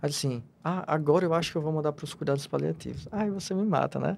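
A man with a normal speaking voice talks at a fairly quick pace, his fairly high pitch showing ordinary pitch variation. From Rio Grande do Norte, Brazil. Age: 30s. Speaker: palliative care physician. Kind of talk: interview.

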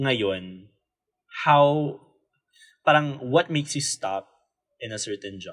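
At a very slow pace with long, frequent pauses, a man talks in a fairly high pitch with lively intonation. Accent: Filipino. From Philippines. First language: Tagalog. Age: 20s. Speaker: podcast co-host, designer. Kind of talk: casual chat. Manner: halting, repeats words.

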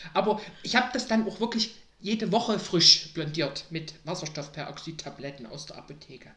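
There is noticeable background noise as a woman with medium pitch talks at a moderate pace, her voice making very wide pitch swings. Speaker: podcast guest, mother of a host. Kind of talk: casual interview.

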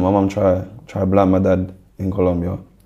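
A dark, mellow tone in a South London accent. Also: man. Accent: South London, Multicultural London English. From South London (Brixton). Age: 20s. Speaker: rapper. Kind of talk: interview, personal story.

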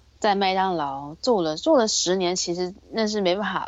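A woman uses a normal speaking voice at a fairly slow pace. Her pitch is medium, with ordinary pitch variation. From Taiwan. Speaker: retail worker. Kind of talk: casual interview chat.

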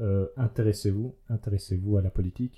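At a moderate pace, a man with a fairly low voice talks in a monotone, flat intonation. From Belgium, Liège region. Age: 30s. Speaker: youth political representative. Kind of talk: casual conversation.

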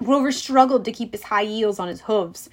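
What we hear is plain reading aloud.

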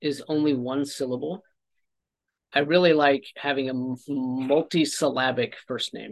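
Against a quiet background, a man with an American accent speaks fairly slowly in a fairly high pitch with ordinary variation. It is an unremarkable speaking voice. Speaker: podcast host. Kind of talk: casual chat.

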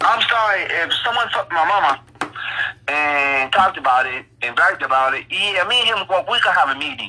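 Over noticeable background noise, a man with an American accent speaks in a raised, projected voice at a high pitch. His intonation is lively and his pace fairly quick. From Ohio. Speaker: sports podcast co-host. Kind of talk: casual chat.

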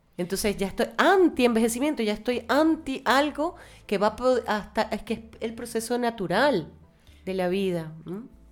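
In a plain, everyday voice, a woman speaks at a moderate pace with a fairly high pitch and lively intonation. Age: 50s. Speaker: guest on aging and self-image. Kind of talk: interview.

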